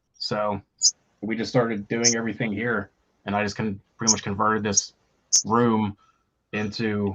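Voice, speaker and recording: With a Pittsburgh accent, a man talks at a moderate pace in a fairly low pitch. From Pittsburgh, Pennsylvania. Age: 30s. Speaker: rock band vocalist. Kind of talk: casual interview chat.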